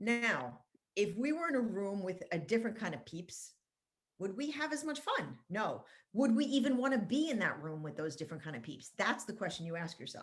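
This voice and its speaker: A woman with a medium pitch talks at a fairly quick pace and sounds somewhat breathy. Her voice makes very wide pitch swings. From France, moved to US at five. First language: French. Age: 50s. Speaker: marketing consultant. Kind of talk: podcast interview. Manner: animated.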